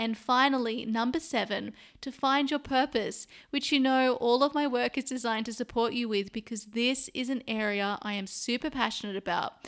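A woman with an Australian accent speaks at a high pitch in a very clean recording with a silent background. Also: ordinary pitch variation, moderate pace. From Sydney, Australia. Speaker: podcast host. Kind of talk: casual interview chat.

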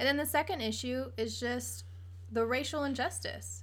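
Moderate pace with an American accent and audible room echo. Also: woman. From Virginia Beach, Virginia. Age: 20s. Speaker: podcast host. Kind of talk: casual chat.

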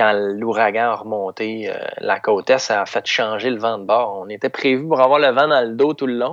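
This man has a Quebec accent. His intonation stays fairly even. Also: dry, close sound with no echo. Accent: Québécois French. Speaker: stand-up paddleboard adventurer. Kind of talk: interview.

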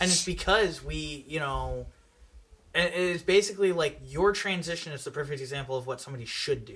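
In an ordinary speaking voice, a man talks at a fairly quick pace and fairly high pitch, with ordinary pitch variation and big swings in loudness. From New York. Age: 20s. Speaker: podcast guest. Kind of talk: casual chat.

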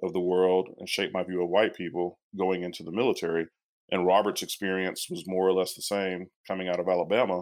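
A man with a very deep, low pitch speaks at a fairly quick pace in a monotone, flat way on a very clean recording with a silent background. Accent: American. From Texas. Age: 40s. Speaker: nursing PhD student and Army veteran. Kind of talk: interview.

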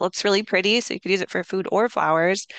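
A woman with an American accent and vocal fry speaks very fast with fairly even intonation, recorded dry and close with no echo against a quiet background. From Minnesota, Minneapolis. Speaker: cookbook author and homesteader. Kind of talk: interview.

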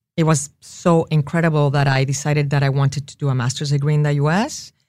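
The speech moves at a very fast pace. It comes in a Spanish accent. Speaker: tequila company CEO. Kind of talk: interview.

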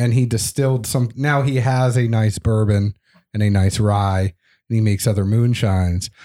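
A dark, mellow tone comes through a very clean recording with a silent background, at a moderate pace with very even loudness and fairly even intonation. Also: man, fairly low pitch for a man. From Tennessee. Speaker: podcaster. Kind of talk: casual interview chat. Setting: studio.

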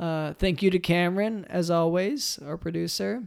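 On a very clean recording with a silent background, a man speaks at a fairly slow pace, high in pitch with ordinary pitch variation. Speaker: comedy podcast host. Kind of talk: improvised comedy chat. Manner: hesitant straight man, many fillers.

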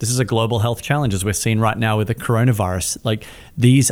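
The man's medium-pitched voice comes through on a very clean recording against a silent background. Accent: Australian. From Australia, Melbourne. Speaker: charity founder. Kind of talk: interview.

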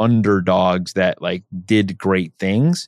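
A man speaks in a dry, close sound with no echo. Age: 30s. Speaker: real estate agent and investor. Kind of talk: interview. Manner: halting.

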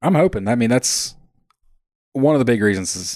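A man with an American accent, talking very fast over a quiet background. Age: 30s. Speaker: hunting podcaster. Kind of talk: casual chat.

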